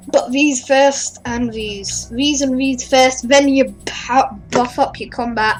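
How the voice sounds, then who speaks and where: Very slow speech with hardly any pauses, fairly even intonation and noticeable background noise. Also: woman, high pitch for a woman. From Australia. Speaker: gaming youtuber. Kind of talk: game review with gameplay commentary. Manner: hesitant, many ums.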